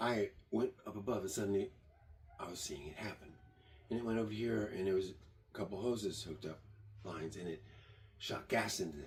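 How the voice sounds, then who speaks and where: A man speaks at a fairly low pitch with ordinary pitch variation and a somewhat breathy voice. His pace is fairly quick, broken by long, frequent pauses. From born in Germany, raised partly in Michigan. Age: 70s. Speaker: tiny house builder and vlogger. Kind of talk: rambling monologue.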